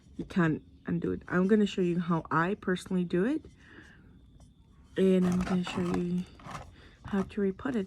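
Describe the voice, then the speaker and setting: A soft-spoken woman's medium-pitched voice, fairly even in intonation, at a moderate pace with long, frequent pauses. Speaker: plant hobbyist vlogger. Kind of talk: tutorial. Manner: quiet, soft-spoken; casual, chatty.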